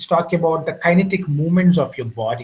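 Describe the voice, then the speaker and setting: A high-pitched man with an Indian accent. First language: Indian language (not English). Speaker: communication skills trainer. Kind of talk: lecture.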